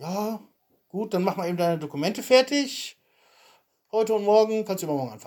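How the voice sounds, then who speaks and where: A man with a high pitch talks at a very fast pace, his intonation lively and his loudness swinging a lot, broken by long, frequent pauses. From Germany, Soest. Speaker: podcast co-host, emigrant. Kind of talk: casual chat. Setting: home recording.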